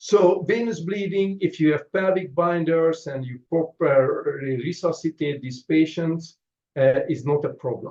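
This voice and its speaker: A man's voice, high in pitch yet dark and mellow in tone, with a non-native accent, ordinary pitch variation and a fairly slow pace. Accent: noticeable foreign. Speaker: trauma surgeon. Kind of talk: lecture. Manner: halting, frequent fillers.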